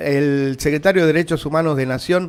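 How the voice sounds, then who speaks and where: A man talks in a plain, everyday voice. His pace is moderate, and his pitch varies in an ordinary way. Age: 50s. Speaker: radio host. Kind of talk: political talk radio monologue. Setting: radio studio, streamed.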